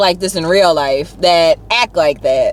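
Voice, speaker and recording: With an American accent, a woman speaks loudly at a moderate pace in an animated tone, her pitch swinging very widely over noticeable background noise. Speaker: YouTuber. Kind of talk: casual chat.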